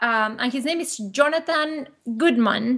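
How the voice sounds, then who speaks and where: Speaking with a Spanish accent, a woman uses a high pitch and lively intonation. Her pace is fairly slow. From Argentina. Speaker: business co-owner. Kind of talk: casual interview.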